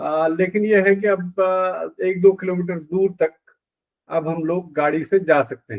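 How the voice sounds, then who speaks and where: A man's high-pitched voice with a monotone, flat intonation. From India, Uttarakhand (Pithoragarh). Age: 60s. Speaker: retired journalist and media professor. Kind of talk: interview. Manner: halting, many fillers.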